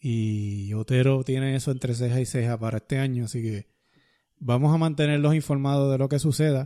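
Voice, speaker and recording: At a fairly quick pace, a man with a dark, mellow tone and a medium pitch speaks with fairly even intonation in a very clean recording against a silent background. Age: 50s. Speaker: podcast host and runner. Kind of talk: casual chat. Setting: studio.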